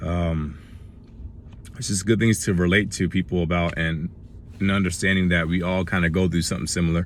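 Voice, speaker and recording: The speech moves at a fairly quick pace with fairly even intonation, broken by long, frequent pauses. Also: man, very deep, low pitch for a man. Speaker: motivational vlogger. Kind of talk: casual talk to camera.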